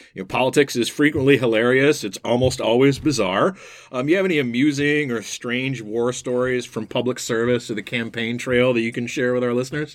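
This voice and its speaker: A man with a plain, everyday voice and an American accent talks at a fairly quick pace with hardly any pauses and ordinary pitch variation. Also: medium pitch for a man. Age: middle-aged. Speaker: podcast host. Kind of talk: interview.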